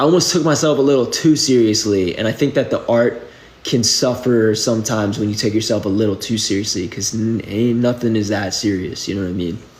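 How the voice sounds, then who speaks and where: Over noticeable background noise, a man with an American accent talks at a fairly quick pace with hardly any pauses. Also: medium pitch for a man, ordinary pitch variation. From New England, outside Boston. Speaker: musician. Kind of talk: casual livestream Q&A. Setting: live video stream. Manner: casual, filler-heavy speech.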